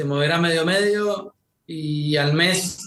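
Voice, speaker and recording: This man speaks with a Rioplatense accent. His intonation stays fairly even. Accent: Argentine Rioplatense Spanish. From Argentina. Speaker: war journalist. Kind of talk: podcast interview.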